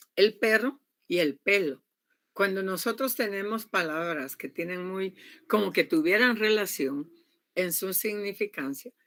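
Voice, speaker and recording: This woman speaks fairly slowly at a medium pitch. Her intonation is lively. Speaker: university lecturer. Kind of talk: online class lecture. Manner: loud.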